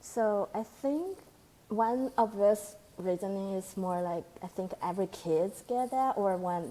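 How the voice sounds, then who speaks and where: A woman with a Chinese accent speaks at a medium pitch with ordinary pitch variation. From China. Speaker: postdoctoral researcher. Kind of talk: interview conversation. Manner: halting.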